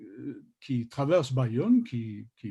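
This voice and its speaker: Against a quiet background, a man with a non-native accent speaks at a medium pitch in a somewhat breathy, dark, mellow tone. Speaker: literary scholar, journal contributor. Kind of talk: panel discussion on literature. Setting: video call. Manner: halting, many hesitations and repetitions.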